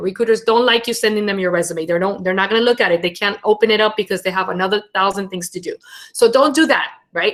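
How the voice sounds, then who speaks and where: Talking at a very fast pace in a Venezuelan accent, a woman uses a fairly high pitch and lively intonation. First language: Spanish. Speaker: internship program head and brand storyteller. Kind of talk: webinar talk and Q&A. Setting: live webinar.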